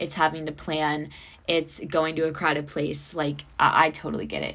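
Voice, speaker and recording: This woman's pitch is very deep and low. She keeps to a moderate pace. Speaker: podcast host, college student. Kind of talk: casual solo podcast talk. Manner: chatty, laughs often.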